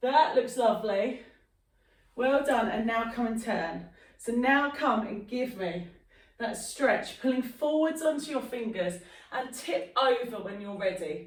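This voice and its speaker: A woman's high voice at a fairly slow pace, with audible room echo. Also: lively intonation. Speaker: fitness instructor. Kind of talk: exercise class instruction.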